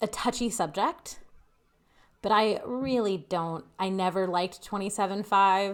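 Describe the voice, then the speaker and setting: On a very clean recording with a silent background, a woman is mumbling. Her pitch is medium and her pace moderate. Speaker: roller derby skater and show co-host. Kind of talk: casual chat.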